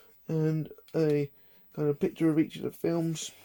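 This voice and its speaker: A quiet voice with an English accent. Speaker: collector vlogger. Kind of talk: casual vlog. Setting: at home in own room. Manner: talking quietly.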